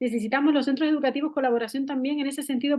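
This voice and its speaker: This woman's voice is high-pitched. She rattles through her words very fast. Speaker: school counselor. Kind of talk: online talk. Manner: animated.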